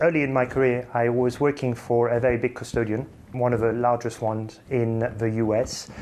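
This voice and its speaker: A man at a medium pitch, with a slight French accent and a moderate pace. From England. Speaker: finance executive. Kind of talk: interview.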